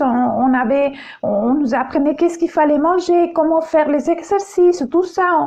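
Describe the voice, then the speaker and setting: With lively intonation and an extremely high pitch, a woman speaks at a moderate pace over noticeable background noise. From Chile. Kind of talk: testimony. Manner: halting, many hesitations.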